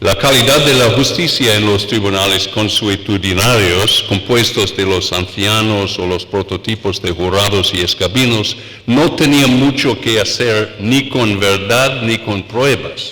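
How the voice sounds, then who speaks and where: A man with an English accent speaks at a fairly slow pace in a fairly low pitch with ordinary pitch variation and hardly any pauses. Noticeable background noise and audible room echo are present. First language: English (speaking Spanish). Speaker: law professor. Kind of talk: lecture. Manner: halting, many fillers.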